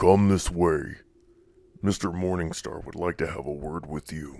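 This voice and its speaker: A man puts on a character voice, very deep and low in pitch, delivered at a moderate pace. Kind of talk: horror story narration.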